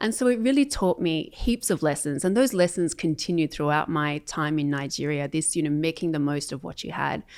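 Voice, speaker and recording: A woman's very deep, low voice with an Australian accent, lively intonation and hardly any pauses, on a very clean recording with a silent background. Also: fairly quick pace. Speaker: corporate sales enablement leader. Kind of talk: interview.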